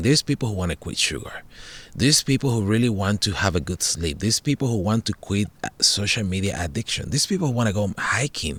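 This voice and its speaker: A man with a Spanish accent, fairly low-pitched, animated and lively in intonation, talking very fast, in a dry, close sound with no echo. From Puerto Rico, rural hills. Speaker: podcast host and meditation teacher. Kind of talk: casual chat. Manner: halting, repeats words.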